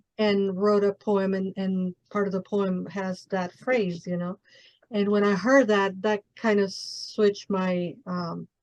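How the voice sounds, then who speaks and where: A woman with a Mexican accent speaks at a very slow pace and medium pitch. Her intonation is monotone and flat, in a dry, close sound with no echo. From Mexico City. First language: Spanish. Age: 40s. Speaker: podcast host. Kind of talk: interview.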